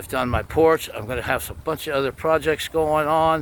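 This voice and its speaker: This man has an American accent and a fairly high pitch. He talks at a moderate pace. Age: 60s. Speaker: DIY woodworking vlogger. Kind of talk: casual vlog walkthrough. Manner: informal, conversational.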